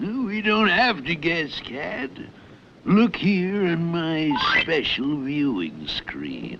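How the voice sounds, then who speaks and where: In a cartoonish character voice, the speaker goes very slowly with lively intonation over clear background noise. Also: man, fairly high pitch for a man. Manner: gloating, commanding.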